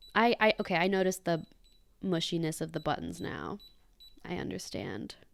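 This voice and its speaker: A woman with a fairly low voice speaks at a moderate pace in an animated tone, her pitch varying in an ordinary way, with music playing in the background. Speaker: virtual pet reviewer. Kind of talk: unboxing and first impressions.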